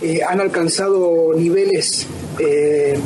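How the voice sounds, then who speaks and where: Noticeable background noise and audible room echo surround the voice. The man's intonation remains fairly even. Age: 30s. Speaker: researcher of ancient myths. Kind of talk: radio interview. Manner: hesitant with many fillers.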